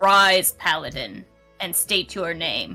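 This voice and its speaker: At a fairly slow pace, a put-on character voice at middle pitch plays over faint background music. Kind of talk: formal, archaic. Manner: commanding, benevolent.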